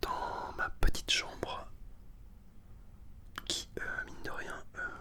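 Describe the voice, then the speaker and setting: Against noticeable background noise, a man whispers very slowly. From Northern France. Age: 20s. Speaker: ASMR artist. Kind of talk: ASMR video. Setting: bedroom. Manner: whispered.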